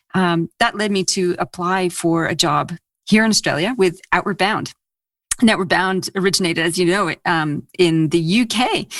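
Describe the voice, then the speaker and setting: A woman at a medium pitch, moderate pace and ordinary pitch variation, in a dry, close sound with no echo. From Canada, Ontario. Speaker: leadership consultant and author. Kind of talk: interview.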